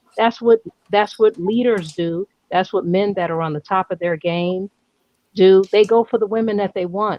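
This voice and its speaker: Here a woman speaks with an American accent. Her pitch is medium and her pace moderate. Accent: New York accent, stronger when excited. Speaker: live stream host. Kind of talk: casual live stream discussion. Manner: animated.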